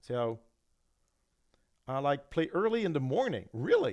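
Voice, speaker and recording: A man with a French-Canadian accent speaks at a fairly high pitch. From Quebec. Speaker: gambling channel co-host. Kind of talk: casual live-stream chat. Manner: halting.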